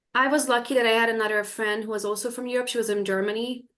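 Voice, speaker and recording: The speaker has a Hungarian accent. The intonation stays fairly even. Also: woman. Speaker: college track and field athlete. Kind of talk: panel discussion. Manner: hesitant, many fillers.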